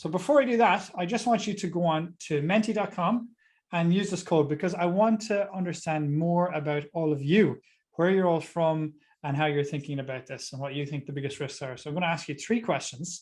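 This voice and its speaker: With an Irish accent and a high pitch, a man talks at a fairly quick pace with ordinary pitch variation over a quiet background. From Ireland. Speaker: tax advisor speaker. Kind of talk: webinar talk. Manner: fast.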